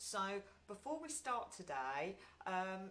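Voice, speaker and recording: A woman speaks loudly. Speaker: meditation group leader. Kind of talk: guided meditation talk. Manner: frequent ums.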